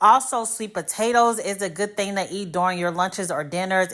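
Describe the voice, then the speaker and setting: On a very clean recording with a silent background, a woman with an American accent speaks at a moderate pace, medium in pitch with ordinary pitch variation. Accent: Midwestern US, commented on by viewers. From US Midwest. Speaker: hair care YouTuber. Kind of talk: casual tutorial talk to camera.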